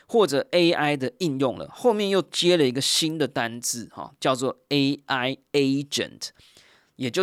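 In a very clean recording with a silent background, a man keeps a moderate pace. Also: dry, close sound with no echo. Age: 40s. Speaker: podcast host. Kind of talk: solo podcast monologue.

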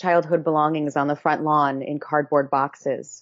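A woman with a plain, everyday voice. She talks at a moderate pace with fairly even intonation. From Massachusetts. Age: 20s. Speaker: activist and consultant. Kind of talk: interview.

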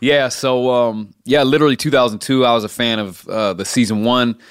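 A man with an American accent speaks fairly quickly in an unremarkable speaking voice, medium in pitch with fairly even intonation, on a very clean recording with a silent background. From Oregon, US. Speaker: streetball player. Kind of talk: interview.

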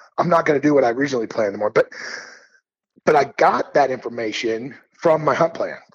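Fairly high for a man, this American-accented voice talks at a very fast pace in an animated tone, with ordinary pitch variation and long, frequent pauses. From US Midwest (Missouri). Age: 50s. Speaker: elk hunting guide and educator. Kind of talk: podcast interview.

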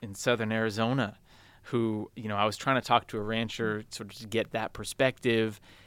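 Against a silent background on a very clean recording, a man keeps a medium pitch with monotone, flat intonation. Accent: Californian. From San Francisco, US West Coast. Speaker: solo theater performer and writer. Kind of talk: interview. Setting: newspaper archives basement.

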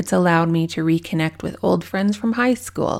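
The audio is very clean, with total silence around the voice. It moves along at a medium speed. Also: woman. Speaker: podcast host. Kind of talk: solo podcast episode, personal farewell monologue. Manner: emotional, warm, sincere.

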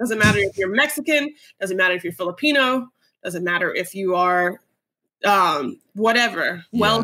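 In an unremarkable speaking voice, a woman with an American accent talks at a medium pitch and moderate pace with lively intonation. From US South, North Carolina. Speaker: podcast co-host. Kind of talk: casual chat.

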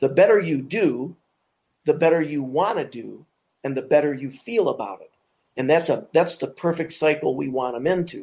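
With vocal fry, a man talks at a moderate pace in a fairly high pitch with ordinary pitch variation. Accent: American. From Michigan, US. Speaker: deputy and firearms instructor. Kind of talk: panel discussion. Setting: video call.

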